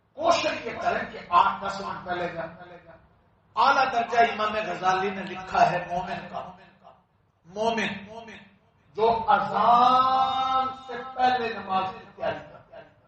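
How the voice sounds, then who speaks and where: A man speaks with a high pitch and lively intonation. His loudness swings widely from moment to moment. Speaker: Islamic scholar giving a lecture. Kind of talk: Islamic sermon (bayan) delivered to a congregation.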